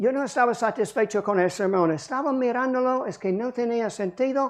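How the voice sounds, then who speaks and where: A woman in an English accent, fairly high in pitch with lively intonation, over a quiet background. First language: English (speaking Spanish). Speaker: pastor. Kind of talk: sermon.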